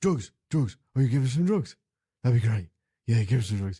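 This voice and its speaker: Putting on a character voice, a man speaks at a medium pitch and a fairly quick pace. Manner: eager, excited, pleading.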